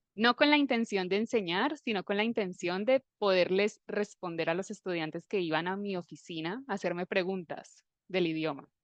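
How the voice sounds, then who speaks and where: A woman with a plain, everyday voice talks at a moderate pace with ordinary pitch variation and hardly any pauses. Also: medium pitch for a woman. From Colombia, Armenia (Eje Cafetero). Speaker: Spanish teacher. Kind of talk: live online class.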